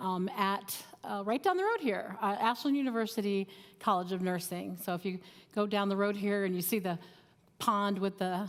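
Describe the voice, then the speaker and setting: There is noticeable background noise as a woman speaks at a moderate pace. Her pitch is medium, and her intonation is fairly even. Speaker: psychiatric nurse and nursing professor. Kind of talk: informal seminar talk. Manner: loud.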